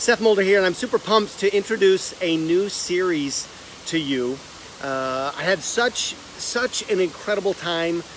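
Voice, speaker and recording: With light background noise and a dry sound with no echo, a man speaks fairly slowly at a high pitch, with ordinary pitch variation. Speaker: online host. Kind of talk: casual livestream vlog chat. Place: garden. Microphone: phone near.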